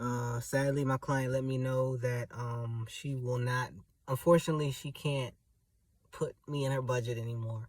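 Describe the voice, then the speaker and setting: A soft-spoken, somewhat breathy man at medium pitch, moderate pace and monotone, flat intonation. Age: 30s. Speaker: vlogger and house cleaner. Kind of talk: casual vlog monologue. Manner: laid back.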